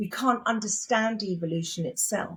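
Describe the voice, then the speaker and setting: At a moderate pace, a woman talks in a fairly high, somewhat breathy voice with ordinary pitch variation. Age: 60s. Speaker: spiritual teacher. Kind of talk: interview.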